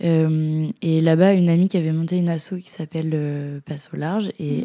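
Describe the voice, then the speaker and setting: A woman speaks at a fairly quick pace in a fairly low pitch with a dark, mellow tone and monotone, flat intonation. The sound is dry and close, with no echo. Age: 20s. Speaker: dancer, visual artist and rugby player. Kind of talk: casual interview chat. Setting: at the host's home. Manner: hesitant, many fillers.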